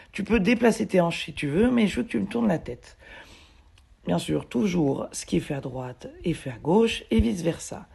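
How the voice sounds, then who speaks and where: A woman's dark, mellow, fairly low voice with vocal fry at a moderate pace. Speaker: mule and horse owner, video blogger. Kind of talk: voice-over narration of training video. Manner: casual, hesitant with fillers.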